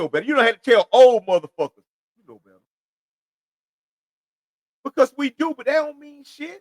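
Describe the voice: Big pitch swings fill a man's extremely high voice, heard in a dry, close sound with no echo. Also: moderate pace.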